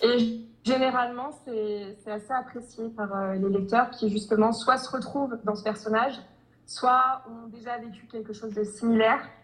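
Noticeable background noise is present. A woman speaks in a fairly high, monotone, flat voice at a fairly slow pace. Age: 20s. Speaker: romance novelist. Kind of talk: interview. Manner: hesitant, many fillers.

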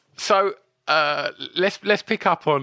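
A man speaks with vocal fry and a bright, sharp tone. The sound is dry and close with no echo, over a quiet background. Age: 40s. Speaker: podcast host. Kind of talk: casual chat.

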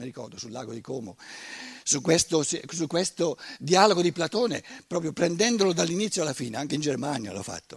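Speaking at a fairly quick pace, a man has a fairly high pitch with very wide pitch swings and vocal fry. His loudness swings a lot, and the sound is dry and close with no echo. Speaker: lecturer, author. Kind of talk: lecture.

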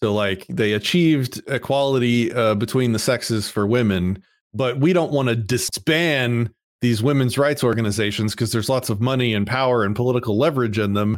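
A man talks in an ordinary speaking voice at medium pitch with ordinary pitch variation. His pace is fairly quick, his loudness very even, and the recording is very clean with a silent background. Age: 40s. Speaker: IT entrepreneur. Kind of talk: casual interview chat.

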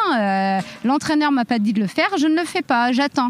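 A woman speaks at a moderate pace with lively intonation and a fairly high pitch. Noticeable background noise runs behind her. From France, Reims area. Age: 30s. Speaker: professional boxer and teacher trainer. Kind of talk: podcast testimony.

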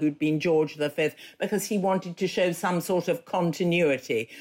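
Using an ordinary speaking voice, a woman talks at a moderate pace with a fairly low pitch. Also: very clean recording, silent background. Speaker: biographer. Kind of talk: interview.

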